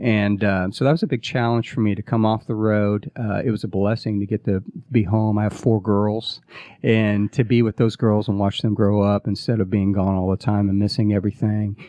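Fairly quick in pace and fairly low in pitch, a man with an American accent talks in a plain, everyday voice with fairly even intonation. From US Midwest. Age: 40s. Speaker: startup COO and former touring musician. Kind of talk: interview. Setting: radio studio.

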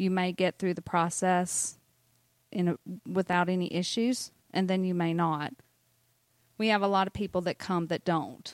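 In a very clean recording with a silent background and a dry, close sound with no echo, a woman with a Southern US accent and medium pitch speaks at a moderate pace with very even loudness, fairly even intonation and long, frequent pauses. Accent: Southern US (Georgia). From US South, North Georgia. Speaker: mortgage banker. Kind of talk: casual chat.

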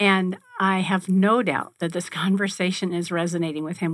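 With fairly even intonation and a fairly low pitch, a woman talks in an ordinary speaking voice. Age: 50s. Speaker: radio host. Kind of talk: casual chat. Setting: studio.

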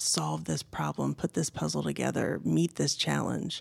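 A woman with an American accent at a moderate pace, on a very clean recording with a silent background. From Indiana, US Midwest. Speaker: business consultant. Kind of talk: interview. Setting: studio.

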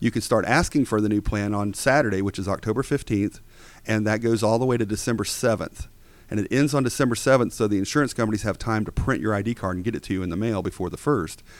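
Talking at a very fast pace with an American accent, a man uses a fairly low voice with ordinary pitch variation. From Georgia, US South. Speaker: Medicare insurance agency owner. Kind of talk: radio interview.

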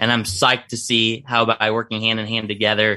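Over a quiet background, a man with a bright, sharp tone speaks at a fairly low pitch and moderate pace. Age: 30s. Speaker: business consultant. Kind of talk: radio interview. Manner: animated.

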